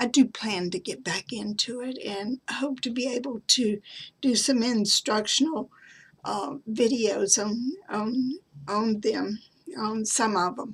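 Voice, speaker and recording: A woman with a Southern US accent speaks very slowly in a fairly high, somewhat breathy voice with ordinary pitch variation. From US South. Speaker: craft and genealogy vlogger. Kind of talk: show-and-tell tutorial. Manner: halting, many fillers.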